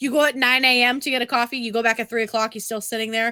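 In a New England accent, a woman talks at a very fast pace with a high pitch and a bright, sharp, playful tone. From Massachusetts. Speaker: podcast host. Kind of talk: casual banter, profane. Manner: playful, bantering.

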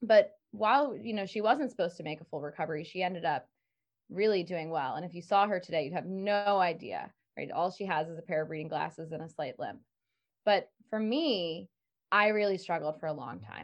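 A woman with an American accent and an ordinary speaking voice talks at a fairly quick pace, her pitch fairly low, her intonation lively and her loudness swinging widely. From rural Maryland, US. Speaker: stress management coach. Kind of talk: podcast interview.

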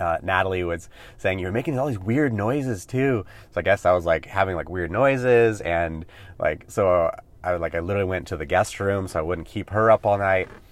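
A man's very deep, low voice with an American accent, fairly quick, with ordinary pitch variation, in a very clean recording with a silent background. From California. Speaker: podcast host, mindset coach. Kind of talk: solo podcast monologue.

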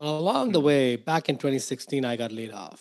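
A man talks at a moderate pace. He speaks with an Indian accent. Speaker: investor and author. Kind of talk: casual interview.

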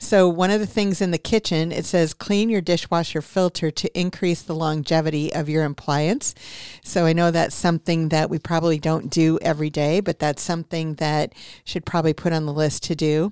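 In a normal speaking voice, a woman with a fairly low pitch talks at a fairly quick pace, the sound dry and close with no echo. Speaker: radio host, real estate agent. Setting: radio studio. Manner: brisk, friendly, fluent patter with some filler 'um'.

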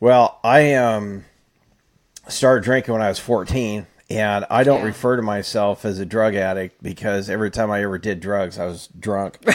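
Someone with an unremarkable speaking voice and an American accent talks at a moderate pace with fairly even intonation. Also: man, fairly low pitch for a man. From California, Fresno. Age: 50s. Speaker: recovering alcoholic. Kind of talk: casual chat.

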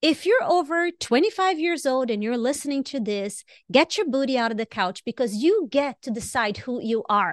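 Speaking at a moderate pace, a woman uses a high pitch with very wide pitch swings and an animated tone, hardly pausing at all. The sound is dry and close with no echo, over a quiet background. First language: not English. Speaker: podcast co-host. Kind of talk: casual chat.

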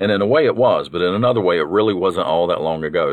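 A man speaks very fast in a warm tone. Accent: Southern US. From North Carolina. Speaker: podcast host. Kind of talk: scripted-sounding storytelling, reminiscing about great-grandmother. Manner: warm, nostalgic.

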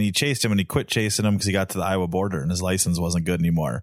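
A man with a Minnesotan accent is heard in a dry, close sound with no echo on a very clean recording with a silent background. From southern Minnesota. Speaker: co-host, duck hunter. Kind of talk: casual chat. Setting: home basement recording.

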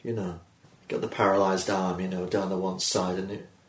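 Somewhat breathy, a man with a fairly low pitch talks at a fairly quick pace amid audible room echo. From northeast England, Durham. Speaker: comedian. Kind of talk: casual chat. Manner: dry, deadpan.

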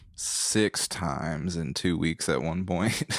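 Very deep and low with vocal fry, a man's voice carries a slight Southern US accent. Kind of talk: casual chat. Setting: home laundry-room studio.

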